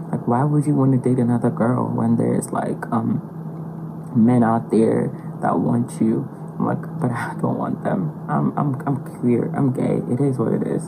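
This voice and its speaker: Moderately paced speech from a woman, with noticeable background noise and audible room echo. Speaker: podcast interviewee. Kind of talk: casual chat.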